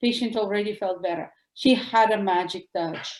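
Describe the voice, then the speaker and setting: A woman with a Russian accent talks at a fairly quick pace, her fairly high voice moving through ordinary pitch variation. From former Soviet Union. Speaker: doctor. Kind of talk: interview. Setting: podcast.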